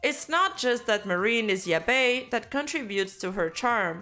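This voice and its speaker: Over music in the background, a woman with a fairly high pitch speaks at a moderate pace with very wide pitch swings. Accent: French Canadian. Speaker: VTuber commentator. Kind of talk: video essay narration.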